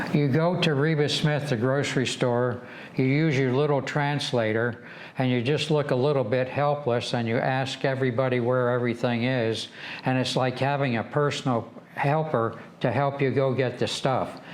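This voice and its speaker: The speaker talks at a moderate pace with a very even loudness. The intonation is fairly even, with an Upper Midwest accent. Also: man, medium pitch for a man. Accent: Upper Midwest American. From Michigan, USA. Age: 80s+. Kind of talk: interview answer.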